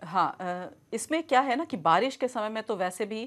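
The woman's intonation is lively. She talks at a fairly slow pace. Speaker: guest. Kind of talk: interview answer. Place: studio.

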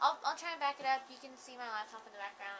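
A woman speaks with lively intonation. Noticeable background noise is present. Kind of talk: tutorial. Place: home room. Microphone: phone near.

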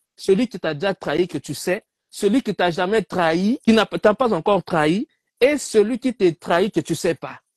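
Someone speaks at a fairly slow pace with a Congolese accent and ordinary pitch variation. The sound is dry with no echo, and the background is quiet. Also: man, high pitch for a man. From DR Congo. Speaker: debate participant. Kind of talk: heated debate. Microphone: video call.

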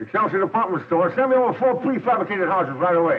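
A man mumbles in a put-on character voice at a very fast pace, pitched high for a man, with light background noise. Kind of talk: scripted acted phone call. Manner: mumbling, mouth full.

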